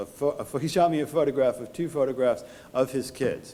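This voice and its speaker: A man with a New York accent, at a fairly quick pace and with fairly even intonation. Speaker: tax lawyer. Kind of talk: conference talk. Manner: halting, with repetitions and fillers.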